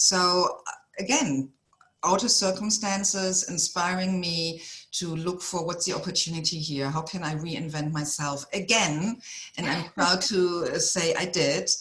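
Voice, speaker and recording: In a German accent, a woman speaks at a fairly slow pace and a fairly low pitch with ordinary pitch variation. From Germany. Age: 50s. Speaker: executive coach. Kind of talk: podcast interview.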